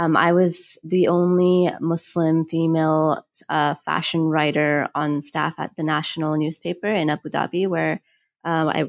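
A woman speaks in a normal speaking voice at a fairly low pitch with fairly even intonation. Her pace is fairly slow, and the recording is very clean with a silent background. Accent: American. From United States. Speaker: fashion journalist and author. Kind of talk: interview.

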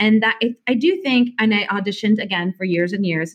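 A woman's somewhat breathy, fairly high voice with an American accent and very wide pitch swings. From Indiana, US Midwest. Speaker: singer. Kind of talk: casual interview chat.

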